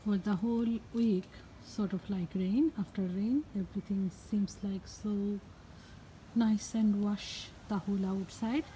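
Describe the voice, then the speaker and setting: In a medium pitch, a woman talks at a fairly slow pace with a dark, mellow tone that is somewhat breathy, over light background noise. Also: ordinary pitch variation. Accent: Bengali. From Bangladesh. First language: Bengali. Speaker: gardening and cooking vlogger. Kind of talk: garden vlog narration. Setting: outdoors. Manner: animated. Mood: cheerful, enthusiastic. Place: garden. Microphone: phone near.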